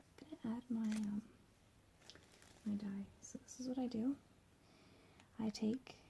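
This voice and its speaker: A soft-spoken, somewhat breathy woman's voice, fairly high in pitch, fairly slow with long, frequent pauses, and fairly even in intonation. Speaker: cosplay crafter. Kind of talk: tutorial with ASMR twist, casual talk to camera.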